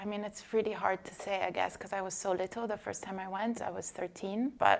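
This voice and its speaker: Speaking very fast, a woman talks with an American accent. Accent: slight Italian with American tinge. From Italy. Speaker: journalist. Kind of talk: podcast interview.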